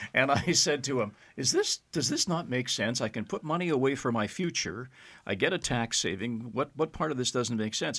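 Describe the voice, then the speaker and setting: In a very clean recording with a silent background, a man with a Canadian accent talks in a normal speaking voice at a medium pitch, using lively intonation at a moderate pace. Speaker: podcast host. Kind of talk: casual chat.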